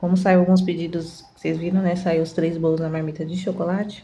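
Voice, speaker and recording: Soft-spoken and somewhat breathy, a woman with a fairly low pitch and a dark, mellow tone talks in monotone, flat intonation amid audible room echo. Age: 30s. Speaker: home baker and vlogger. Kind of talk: casual vlog tutorial. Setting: home kitchen. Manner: chatty.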